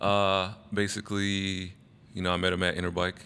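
Recorded very cleanly against a silent background, a man with an American accent speaks at a moderate pace, his very deep, low voice carrying a bright, sharp tone. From Arizona, Phoenix. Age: 30s. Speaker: BMX rider. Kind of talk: casual chat.

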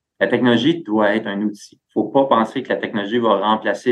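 An ordinary speaking voice goes at a fairly quick pace. Its intonation stays fairly even. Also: man. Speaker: tech company executive. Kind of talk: interview.

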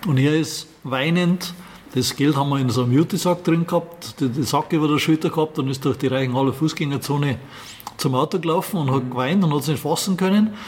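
A man talks at a fairly quick pace with fairly high pitch and ordinary pitch variation. His loudness stays very even over noticeable background noise. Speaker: classic car rally organizer. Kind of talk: interview. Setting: in his garage museum.

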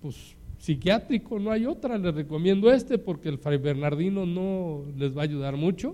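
Speaking in a Mexican accent, a man uses a high pitch, a dark, mellow tone and lively intonation at a fairly slow pace. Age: 60s. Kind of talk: sermon.

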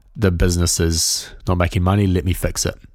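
A man speaks at a moderate pace with a New Zealand accent. His very deep, low voice is on a very clean recording with a silent background. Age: 20s. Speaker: music production podcaster. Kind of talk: interview conversation.

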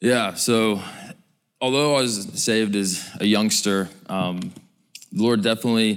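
An ordinary speaking voice with fairly even intonation is heard on a very clean recording with a silent background. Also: man. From Georgia, US. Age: 20s. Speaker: prison ministry researcher. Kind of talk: testimony.

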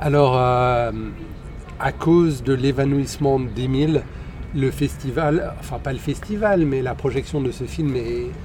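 Noticeable background noise runs beneath speech delivered at a fairly slow pace with fairly even intonation. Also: man. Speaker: podcast host. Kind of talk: casual chat. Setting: outdoors in a park.

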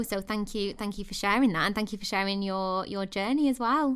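In a very clean recording with a silent background, a woman with a normal speaking voice talks at a fairly quick pace, at a medium pitch with ordinary pitch variation. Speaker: podcast host. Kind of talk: interview, friendly chat.

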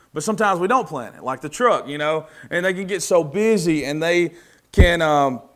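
Speaking in a Southern US accent, a man uses a high pitch with ordinary pitch variation. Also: very clean recording, silent background. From US South. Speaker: preacher. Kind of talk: sermon. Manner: casual, conversational.

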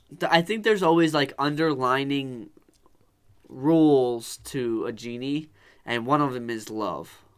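With lively intonation and a fairly high pitch, a man with a normal speaking voice talks at a fairly slow pace. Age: 20s. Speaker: podcast co-host. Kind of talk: casual chat.

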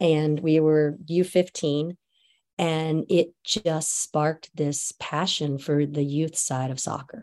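A woman's very deep, low voice in an American accent, very slow, with fairly even intonation and a dark, mellow tone, on a very clean recording with a silent background. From US South (Georgia and North Carolina). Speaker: youth soccer coach. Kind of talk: casual interview.

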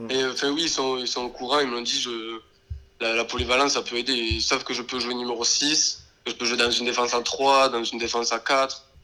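Over noticeable background noise, a man talks fairly quickly at a medium pitch with fairly even intonation. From southern France, Béziers. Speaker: professional footballer. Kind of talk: interview.

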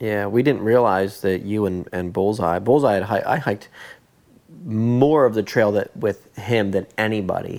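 The clip has an ordinary speaking voice, delivered at a moderate pace with ordinary pitch variation. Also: man, fairly low pitch for a man. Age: 30s. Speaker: podcast host, thru-hiker. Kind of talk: casual interview. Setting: in person, at guest's home.

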